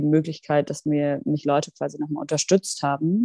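Speaking at a moderate pace, a woman with a very deep, low pitch and a dark, mellow tone is heard in a dry, close sound with no echo. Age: 20s. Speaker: member of parliament. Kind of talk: interview.

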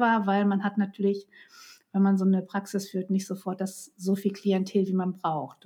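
At a moderate pace and medium pitch, a woman talks in a somewhat breathy voice. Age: 50s. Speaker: psychotherapist and couples coach. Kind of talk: casual interview.

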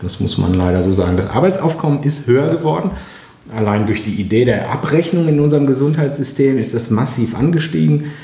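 Audible room echo and noticeable background noise fill this recording of a man. He speaks at a medium pitch with very wide pitch swings. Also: fairly quick pace. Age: 40s. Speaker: nursing teacher. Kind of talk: interview. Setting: on location, in person.

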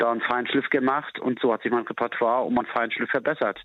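A man speaks at a medium pitch with fairly even intonation. He has an ordinary speaking voice. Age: 40s. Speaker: bouncer. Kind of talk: phone interview.

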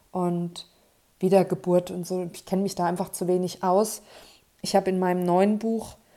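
A woman's dark, mellow voice at medium pitch, moderate in pace, with monotone, flat intonation. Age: 30s. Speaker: podcast host and author. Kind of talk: solo monologue podcast. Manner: casual, unscripted chatter.

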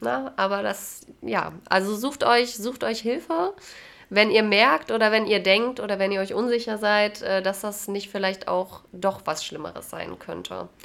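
A woman speaks fairly slowly at a medium pitch, with vocal fry in her voice. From Jena, Thuringia, Germany. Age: 20s. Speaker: lab worker. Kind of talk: casual chat. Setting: host's home.

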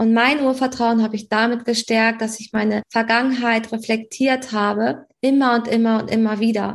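Speaking at a moderate pace with hardly any pauses, a woman keeps a fairly high pitch in a monotone, flat intonation. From Hamburg, northern Germany. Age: 30s. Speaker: astrology coach and naturopath. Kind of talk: podcast interview.

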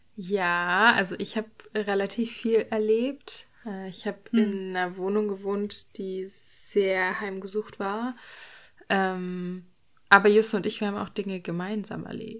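Against a quiet background, the speech comes at a very slow pace in a monotone, flat intonation. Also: woman, medium pitch for a woman. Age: 20s. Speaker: podcaster. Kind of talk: casual chat.

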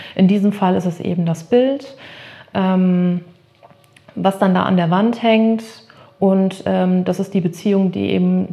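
A woman with a medium-pitched voice speaks at a very slow pace with ordinary pitch variation and long, frequent pauses. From northern Germany, Emsland. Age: 30s. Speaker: art therapist. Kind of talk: interview. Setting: in her studio.

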